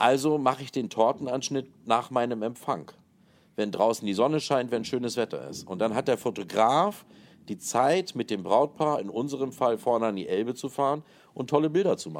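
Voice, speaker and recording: At a moderate pace, a man speaks in a normal speaking voice with medium pitch and lively intonation. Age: 40s. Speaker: wedding planner and hotel manager. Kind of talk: interview.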